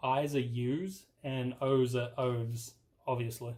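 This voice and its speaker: The very clean recording with a silent background captures a man with a somewhat breathy voice. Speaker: tech youtuber. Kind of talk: tutorial. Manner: casual.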